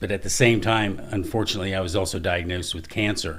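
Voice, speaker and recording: A fairly quick pace, ordinary pitch variation and audible room echo. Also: man. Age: 60s. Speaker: construction business owner with Parkinson's. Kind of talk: podcast interview.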